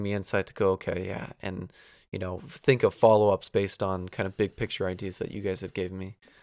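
A man's fairly low, monotone, flat voice at a fairly quick pace, dry and close with no echo on a very clean recording with a silent background. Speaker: sports podcast host. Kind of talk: casual chat; solo monologue intro. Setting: basement home studio.

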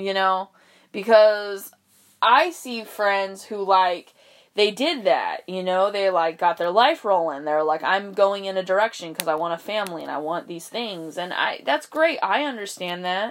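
Using a normal speaking voice, a woman talks at a fairly slow pace with a medium pitch and lively intonation. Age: 20s. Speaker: podcaster. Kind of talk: casual monologue. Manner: casual, rambling with fillers.

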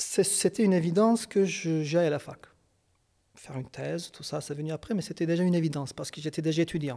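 In a very clean recording with a silent background, a man with a high pitch and a dark, mellow tone talks very fast with big swings in loudness. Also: ordinary pitch variation. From Kurdistan. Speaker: psychologist and psychoanalyst. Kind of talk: interview. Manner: hesitant, with fillers and repetitions.

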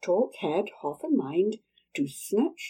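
A natural reading voice is heard. Nothing much sounds in the quiet background.

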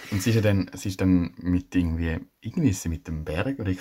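A man talks in a plain, everyday voice at a fairly quick pace, with ordinary pitch variation. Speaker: podcast co-host. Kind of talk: casual chat.

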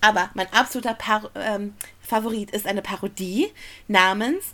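Speaking at a fairly slow pace, a woman uses a normal speaking voice with a medium pitch and fairly even intonation. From Ruhr area, Germany. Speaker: podcast co-host, musical fan. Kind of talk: casual chat.

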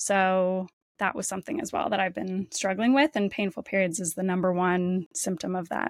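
A woman's medium-pitched, normal speaking voice with a Canadian accent, ordinary pitch variation and a moderate pace, in a dry, close sound with no echo. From Canada, Windsor, Ontario. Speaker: nutritionist and podcast host. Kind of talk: interview conversation.

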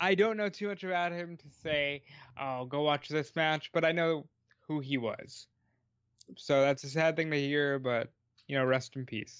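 Against a quiet background, a man with an ordinary speaking voice talks at a moderate pace, with a fairly high pitch and ordinary pitch variation. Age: 20s. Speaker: wrestling podcast co-host. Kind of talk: casual chat.

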